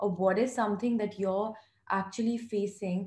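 A soft-spoken woman has a fairly high pitch and a dark, mellow tone that is somewhat breathy. Room echo can be heard. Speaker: mental health foundation founder, psychology student; podcast guest. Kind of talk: podcast interview answer. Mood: earnest, reflective. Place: home room. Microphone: video call.

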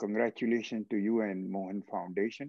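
The background is quiet and the sound is dry, with no echo. A man speaks with an Indian accent. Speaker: transplant surgeon and foundation CEO, moderator; moderator. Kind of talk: moderated webinar discussion. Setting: video call. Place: home room. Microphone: video call.

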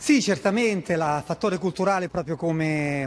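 The speaker has a plain, everyday voice. Pitch varies in an ordinary way. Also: man. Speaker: foreign correspondent. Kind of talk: news reporting. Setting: live link from Shanghai.

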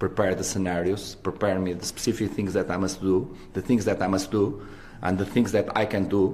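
With a dark, mellow tone, a man talks at a fairly low pitch. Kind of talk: press conference answer. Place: hall. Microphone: podium.

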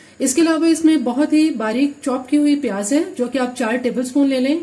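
A woman talks at a fairly quick pace and high pitch in a dark, mellow tone. There is audible room echo.

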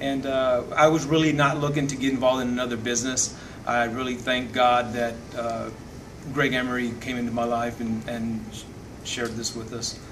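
Flat, monotone male speech at a moderate pace against noticeable background noise. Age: 50s. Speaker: network marketing distributor. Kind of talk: testimony. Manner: halting. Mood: grateful, sincere.

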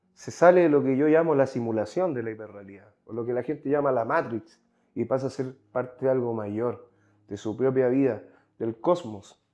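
Over a quiet background, a man speaks at a moderate pace in a dark, mellow tone. His pitch variation is ordinary, with big swings in loudness. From Chile. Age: 20s. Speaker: psychology graduate; podcast guest. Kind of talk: casual chat. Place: home room. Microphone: lapel.

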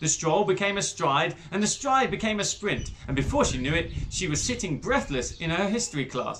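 A plain reading aloud of the text.

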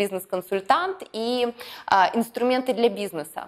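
With ordinary pitch variation, this woman talks at a moderate pace. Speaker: business YouTube blogger and mentor. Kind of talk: vlog-style address to viewers. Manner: energetic, enthusiastic. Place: studio.

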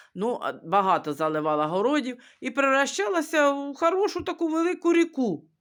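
The speech moves at a fairly quick pace with very wide pitch swings. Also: woman, high pitch for a woman. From Ukraine. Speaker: vlogger. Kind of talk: casual storytelling. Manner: halting.

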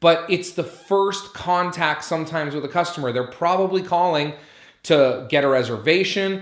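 A man speaks at a moderate pace in a high pitch with ordinary pitch variation. The background is quiet, though there is audible room echo. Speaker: restaurant business coach. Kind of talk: tutorial.

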